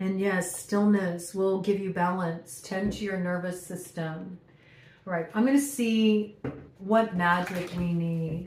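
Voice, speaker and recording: A woman speaks at a very slow pace and a medium pitch, with fairly even intonation, audible room echo and noticeable background noise. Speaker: tarot reader. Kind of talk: channeled tarot reading.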